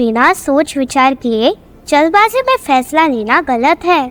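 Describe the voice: A female-sounding voice performs a cartoonish character voice, high in pitch. The pace is fairly slow.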